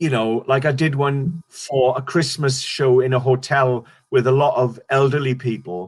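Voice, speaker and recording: A man with a Welsh accent and medium pitch speaks somewhat breathily at a moderate pace, with fairly even intonation and hardly any pauses. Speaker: stand-up comedian. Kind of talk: interview. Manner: halting.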